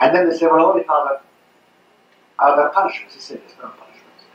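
A man speaks with a fairly high pitch. Audible room echo and light background noise surround him. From Ireland. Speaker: former priest. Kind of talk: public lecture. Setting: live talk, poor-quality audio. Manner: fast. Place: hall. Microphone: pa.

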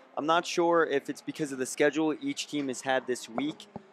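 A man with a fairly high pitch uses a normal speaking voice at a moderate pace. His intonation is fairly even, and the sound is dry and close with no echo. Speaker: color commentator. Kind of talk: live sports commentary. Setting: broadcast booth at arena. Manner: conversational, analytical, measured color commentary between plays.

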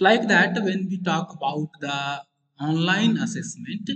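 A man at a high pitch with lively intonation and a fairly slow pace, set against a quiet background. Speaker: university teacher. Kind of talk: lecture. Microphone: video call.

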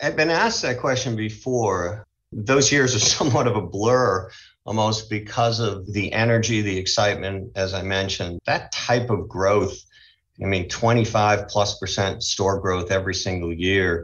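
An unremarkable speaking voice from a man with an American accent, fairly low in pitch, at a moderate pace with ordinary pitch variation. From Boston, US Northeast. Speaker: retail company CEO. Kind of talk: interview.

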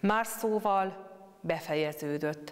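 Ordinary pitch variation in a woman's speech. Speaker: speaker. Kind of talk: scripture reading and meditation. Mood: calm, solemn. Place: church. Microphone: lapel.

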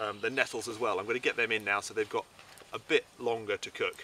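A man talks at a fairly low pitch and a fairly quick pace. His tone is bright and sharp, and his intonation is fairly even.

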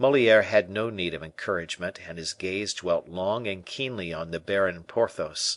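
An unremarkable speaking voice with ordinary pitch variation and hardly any pauses. The background is quiet. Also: man, fairly low pitch for a man, moderate pace. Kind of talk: audiobook reading of a classic novel. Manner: measured, even narration that shifts into character voices for dialogue.

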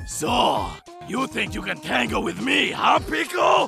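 A man's cartoonish character voice, raised to a shout, extremely high in pitch with big pitch swings, bright and sharp in tone with vocal fry, at a fairly slow pace over faint background music

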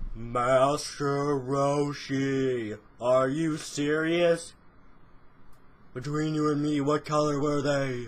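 The pace is very slow. It is delivered in a put-on character voice. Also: man, fairly high pitch for a man. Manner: smug, pompous.

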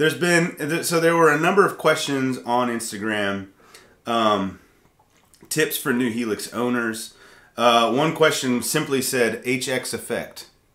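A man's bright, sharp voice at a fairly slow pace, with ordinary pitch variation, audible room echo and a quiet background. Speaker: worship leader and channel host; channel host. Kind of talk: casual live stream chat about music gear. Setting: live stream studio. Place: studio.

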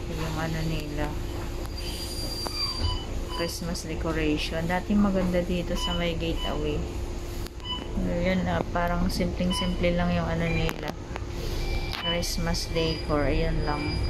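A woman talks at a very slow pace with long, frequent pauses. Loud background noise fills the recording. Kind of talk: casual vlog chat. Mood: relaxed, observational. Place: bus. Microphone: phone near.

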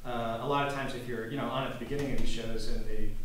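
Amid light background noise and audible room echo, a man talks at a very fast pace. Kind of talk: lecture. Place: stage. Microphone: camera far.

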